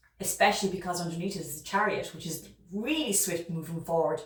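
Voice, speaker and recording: A woman's fairly low voice in an Irish accent, at a fairly quick pace with ordinary pitch variation. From Ireland. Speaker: tarot reader. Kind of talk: tarot reading monologue. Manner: fast; hesitant with fillers.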